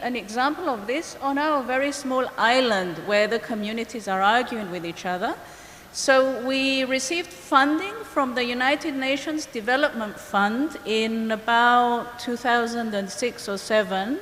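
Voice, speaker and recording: A woman with a high voice talks at a fairly slow pace, with noticeable background noise and audible echo in the room. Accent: Greek. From Cyprus, Greek Cypriot community. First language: Greek. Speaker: biologist and ecologist. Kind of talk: conference presentation. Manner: hesitant, with fillers.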